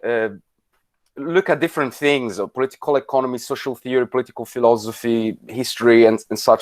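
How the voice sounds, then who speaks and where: A fairly quick man with an Italian accent, dry and close with no echo, on a very clean recording against a silent background. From Italy. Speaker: politics lecturer. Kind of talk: lecture. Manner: halting, many fillers.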